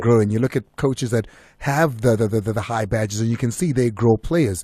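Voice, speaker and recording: On a very clean recording with a silent background, a man talks at a fairly quick pace in a somewhat breathy voice, with a medium pitch and ordinary pitch variation. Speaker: radio sports show host. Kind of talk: radio sports interview.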